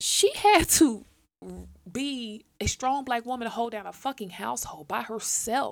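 With vocal fry and a fairly high pitch, a woman talks at a moderate pace in an animated tone with lively intonation. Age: 30s. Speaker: podcast host. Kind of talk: casual monologue.

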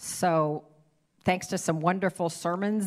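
In a very clean recording with a silent background, a woman with an American accent talks at a fairly low pitch with ordinary pitch variation. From Ohio. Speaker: church member giving sermon. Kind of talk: sermon; guided prayer. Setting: church stage with congregation.

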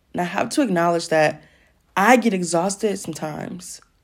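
Speaking fairly quickly, a woman with a fairly low pitch and ordinary pitch variation has an unremarkable speaking voice. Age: 20s. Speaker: podcast host. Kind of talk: solo monologue. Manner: casual, laughing often.

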